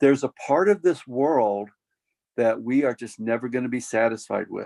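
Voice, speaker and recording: A man talks at a moderate pace in an American accent, with medium pitch and ordinary pitch variation. It is an unremarkable speaking voice. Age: 60s. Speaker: pastor. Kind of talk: Q&A workshop. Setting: video call.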